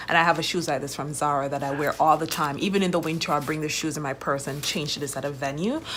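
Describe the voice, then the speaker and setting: Noticeable background noise is present. Over it, a woman races at a very fast pace, hardly any pauses breaking her speech. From Jamaica. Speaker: vlogger, wine importer. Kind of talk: casual vlog chat. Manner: casual with many fillers.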